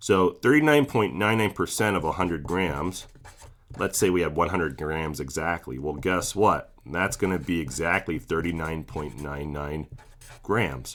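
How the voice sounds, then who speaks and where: Very deep, low male pitch with vocal fry and ordinary pitch variation. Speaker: chemistry teacher. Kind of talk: tutorial. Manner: slow; casual with filler words.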